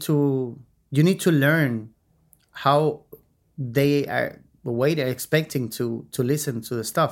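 With a Chilean accent, a man talks very slowly and fairly evenly, leaving long, frequent pauses. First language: Spanish. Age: 50s. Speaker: mix and mastering engineer. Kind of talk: podcast interview. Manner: halting, searches for words.

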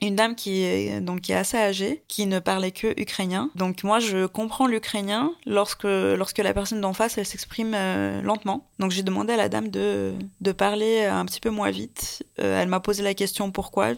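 Talking at a moderate pace with hardly any pauses, a woman speaks in a Russian accent. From Siberia, Russia (Tyumen). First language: Russian (speaking French). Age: 20s. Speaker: volunteer translator. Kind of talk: testimony. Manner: halting.

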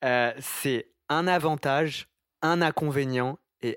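The recording is very clean with a silent background, dry and close with no echo, as a man speaks with a fairly high pitch. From France, Italian family. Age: 20s. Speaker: podcast host. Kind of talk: casual interview.

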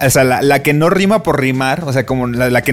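A man with a Mexican accent, amid noticeable background noise. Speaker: podcast co-host. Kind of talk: casual chat.

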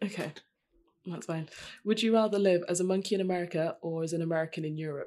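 Speaking at a very fast pace in a British accent, the voice has an animated tone. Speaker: podcast host. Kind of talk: casual banter. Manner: jokey, animated.

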